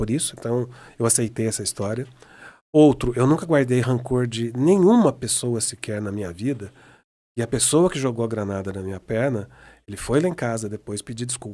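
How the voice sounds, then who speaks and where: A man's medium-pitched voice with ordinary pitch variation and a fairly quick pace, on a very clean recording with a silent background. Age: 60s. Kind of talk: interview conversation. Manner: halting with frequent repetitions.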